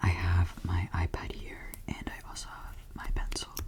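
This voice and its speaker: The whispering moves at a fairly slow pace. Behind it, background noise is noticeable. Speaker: student studying chemistry. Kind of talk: ASMR study session, soft-spoken educational talk. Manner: soft-spoken, casual, hesitant with filler words.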